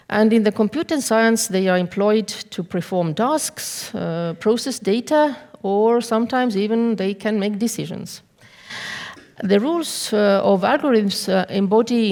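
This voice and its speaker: Medium in pitch with ordinary pitch variation, a woman speaks at a moderate pace with a non-native accent. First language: not English. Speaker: law professor. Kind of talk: conference talk. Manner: halting; reading from notes.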